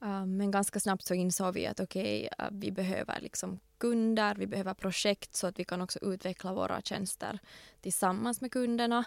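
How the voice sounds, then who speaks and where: A woman with a plain, everyday voice speaks at a medium pitch and moderate pace with fairly even intonation, in a dry, close, echo-free recording with a very clean, silent background. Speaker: lawyer, entrepreneur and recruiter. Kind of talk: interview.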